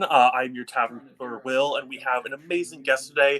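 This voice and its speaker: With noticeable noise behind him, a man talks fairly quickly, his pitch varying in an ordinary way. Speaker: podcast host. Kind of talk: casual chat. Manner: halting.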